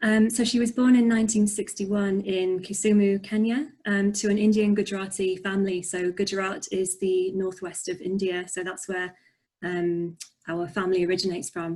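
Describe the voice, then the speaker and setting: Speaking at a moderate pace, a woman with a slight Yorkshire accent has a dark, mellow tone, medium pitch, fairly even intonation and a somewhat breathy quality. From northern England, Barnsley, Yorkshire. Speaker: poet and author. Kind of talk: interview.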